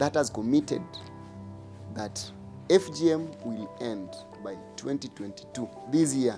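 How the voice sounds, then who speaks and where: Over music in the background, a man at a medium pitch speaks at a fairly slow pace with long, frequent pauses, very wide pitch swings, and big swings in loudness. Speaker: activist against FGM. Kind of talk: advocacy speech to camera.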